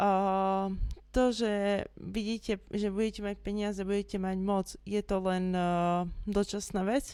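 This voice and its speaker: A woman talks in a dark, mellow tone at medium pitch, her intonation monotone and flat, at a fairly slow pace. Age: 20s. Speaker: former satanist giving testimony. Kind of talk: testimony.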